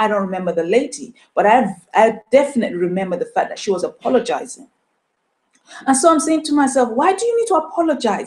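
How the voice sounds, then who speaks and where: With a Nigerian accent, a woman talks at a very fast pace in a high pitch, her voice swinging very widely up and down. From Nigeria, moved to UK as a child. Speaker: motivational speaker. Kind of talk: motivational talk. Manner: animated.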